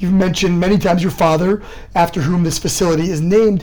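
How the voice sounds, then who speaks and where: A high-pitched man talking very fast over noticeable background noise. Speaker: podcast host. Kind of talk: interview. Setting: on location, in person.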